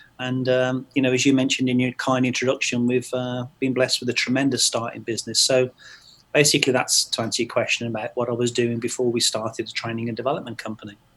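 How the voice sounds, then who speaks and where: A man with an English accent talks at a very fast pace. His intonation is monotone and flat. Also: medium pitch for a man. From England, Stratford-upon-Avon. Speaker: training company owner, accountant. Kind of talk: podcast interview. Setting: podcast.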